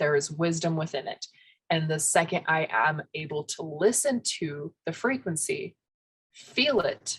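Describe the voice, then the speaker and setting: A woman with a fairly low pitch speaks at a fairly slow pace. Her somewhat breathy voice carries lively intonation. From US, Spanish-speaking immigrant family. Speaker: spiritual podcast co-host. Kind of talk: casual chat.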